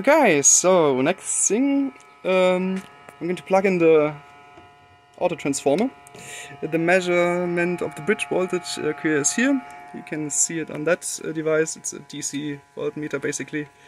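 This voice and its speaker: Over music in the background, a man speaks with a non-native accent, high pitch and ordinary pitch variation. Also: moderate pace. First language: German. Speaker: electronics hobbyist. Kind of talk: unscripted technical demo talk to camera. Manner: hesitant, many filler words. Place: workshop. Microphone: phone near.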